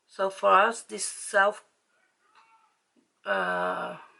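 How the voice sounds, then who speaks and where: This is a woman speaking with a Dutch accent. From Netherlands. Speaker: beauty vlogger. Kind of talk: casual chat while doing makeup. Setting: home with ring light. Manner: halting.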